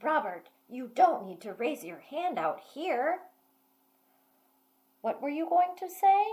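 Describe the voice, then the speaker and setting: Loud and high-pitched, a woman puts on a character voice with very wide pitch swings, a fairly slow pace and long, frequent pauses. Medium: read story. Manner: stern, loud.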